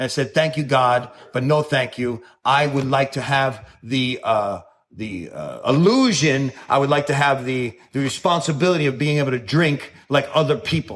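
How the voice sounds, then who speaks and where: A man with a fairly high voice speaks in a New York accent at a moderate pace, with an animated tone and ordinary pitch variation. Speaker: recovering alcoholic speaker. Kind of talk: recovery talk. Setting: stage with audience.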